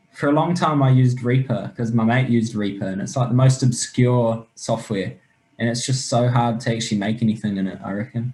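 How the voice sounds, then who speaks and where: Fairly quick and somewhat breathy, a man with a New Zealand accent speaks in a dark, mellow tone with fairly even intonation. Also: medium pitch for a man. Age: 20s. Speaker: rapper and music producer. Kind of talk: casual chat.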